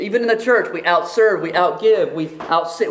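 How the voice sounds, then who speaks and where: With an American accent and lively intonation, a man speaks at a fairly quick pace amid noticeable background noise and audible room echo. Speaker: pastor. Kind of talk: sermon.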